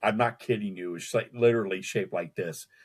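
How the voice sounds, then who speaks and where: In a fairly low pitch with ordinary pitch variation, a man speaks on a very clean recording with a silent background. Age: 60s. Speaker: cryptid researcher. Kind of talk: casual interview. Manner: halting, repeats words.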